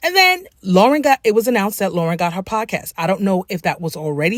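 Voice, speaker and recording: A woman speaks at a medium pitch and a fairly quick pace, her tone animated and her intonation lively. The sound is dry and close with no echo, in a very clean recording over a silent background. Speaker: writer and book coach, commentary YouTuber. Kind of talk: casual commentary vlog. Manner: animated, conversational; relaxed, informal, not her corporate voice.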